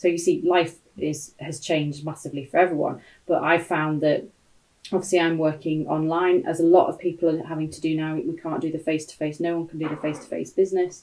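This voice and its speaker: A woman with a British accent talks very fast in a fairly low, monotone, flat voice, with big swings in loudness. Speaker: sales trainer. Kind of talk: live-stream talk. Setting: home office, livestream.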